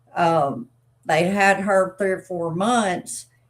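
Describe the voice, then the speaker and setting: The woman speaks at a very slow pace. Her pitch is medium. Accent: Arkansas. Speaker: dog breeder. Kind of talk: live stream chat. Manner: casual, halting with fillers.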